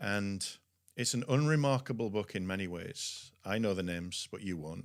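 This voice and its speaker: A man with a Yorkshire accent, fairly low in pitch, lively in intonation and moderate in pace, in a very clean recording with a silent background. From West Yorkshire, England. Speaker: pastor and publishing CEO. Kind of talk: podcast interview, testimony.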